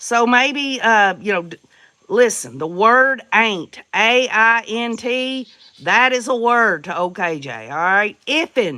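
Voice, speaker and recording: In a Southern US accent, a woman with a bright, sharp, fairly high voice speaks at a very slow pace with lively intonation. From US South, Tennessee. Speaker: livestream host. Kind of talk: casual chat. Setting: livestream. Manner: chatty, folksy.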